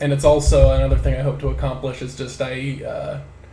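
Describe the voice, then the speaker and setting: The pace of this man's speech is moderate. Noticeable background noise can be heard. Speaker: podcast co-host. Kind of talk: casual chat.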